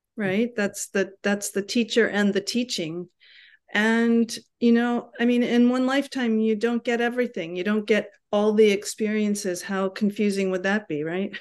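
This is an unremarkable speaking voice moving at a moderate pace. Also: woman, fairly high pitch for a woman. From New York City. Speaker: yoga teacher. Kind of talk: casual chat. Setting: video call.

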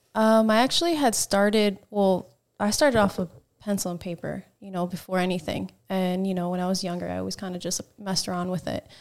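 Someone with an American accent talks at a fairly quick pace with fairly even intonation in a very clean recording with a silent background. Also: woman, medium pitch for a woman. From New Jersey. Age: 30s. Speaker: guest, learner stunt rider and artist. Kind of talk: casual chat.

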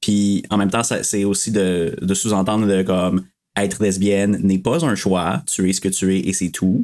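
Recorded very cleanly against a silent background, a man with a Quebec accent talks at a moderate pace and fairly low pitch. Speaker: podcast guest. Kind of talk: casual chat.

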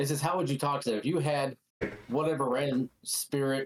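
A man with an ordinary speaking voice, fairly high in pitch, at a fairly quick pace. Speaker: podcast co-host, youth coach. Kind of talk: casual chat.

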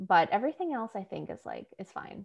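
A woman speaks with a New York accent. The background is quiet. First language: Spanish. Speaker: YA author, co-host. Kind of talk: casual chat.

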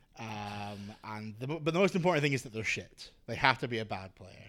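In a very clean recording with a silent background, a man speaks with a Scottish accent. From Scotland. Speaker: radio DJ. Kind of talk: casual chat.

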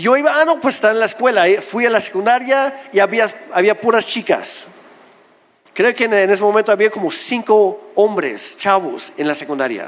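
Pitched high, a man speaks with lively intonation. His pace is moderate. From Mexico, Oaxaca. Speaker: pastor. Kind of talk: sermon.

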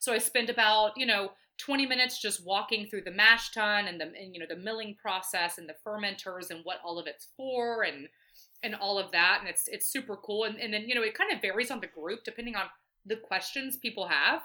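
A woman talks at a fairly quick pace and a fairly high pitch, with a slight Southern US accent and ordinary pitch variation. Her tone is bright and sharp, and her loudness swings widely. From Atlanta, Georgia. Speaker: brewery events coordinator. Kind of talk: casual chat.

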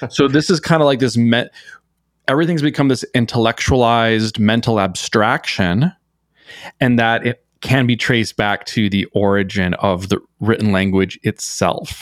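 In a very clean recording with a silent background, a man speaks at a moderate pace and a medium pitch. The sound is dry and close with no echo, and his pitch varies in an ordinary way. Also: very even loudness. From small-town Minnesota. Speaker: poet and meme artist. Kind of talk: casual interview chat. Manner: halting, many repeated words.

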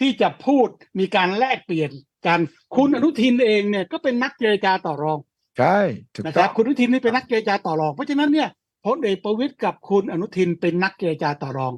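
This man's high-pitched voice makes very wide pitch swings, captured in a dry, close sound with no echo. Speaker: political analyst. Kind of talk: political analysis interview.

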